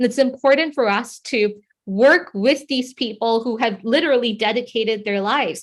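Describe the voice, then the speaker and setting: A woman speaks in a plain, everyday voice with a fairly high pitch. Her pace is moderate, and her pitch varies in an ordinary way. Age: young. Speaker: youth activist, foundation representative. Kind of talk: panel talk. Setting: conference panel.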